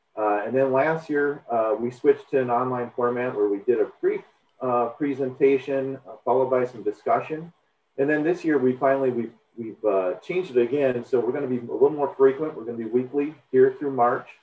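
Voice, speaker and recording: A man talks at a fairly quick pace with fairly even intonation, and audible room echo can be heard. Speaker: extension educator, webinar host. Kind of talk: webinar welcome introduction. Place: home room.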